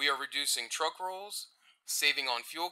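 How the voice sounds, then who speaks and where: Moderate pace and ordinary pitch variation in a normal speaking voice. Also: man. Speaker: customer service supervisor. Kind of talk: formal presentation to council.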